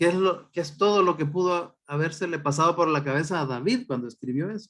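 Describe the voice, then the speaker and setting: A man speaks at a fairly quick pace with ordinary pitch variation. It is a plain, everyday voice. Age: 60s. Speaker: pastor. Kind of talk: sermon.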